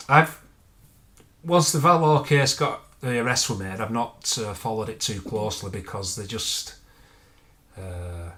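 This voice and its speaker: With a bright, sharp tone and medium pitch, a man speaks at a fairly slow pace with lively intonation, big swings in loudness and long, frequent pauses. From England. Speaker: true crime YouTuber. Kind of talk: casual chat on livestream. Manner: halting, many restarts.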